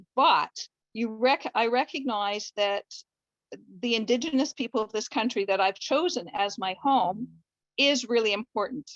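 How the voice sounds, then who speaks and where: The recording is dry and close, with no echo, and a woman talks at a moderate pace. She has an ordinary speaking voice, fairly high in pitch, with ordinary pitch variation. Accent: Canadian. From Canada. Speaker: family doctor. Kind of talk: online discussion comment. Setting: video call.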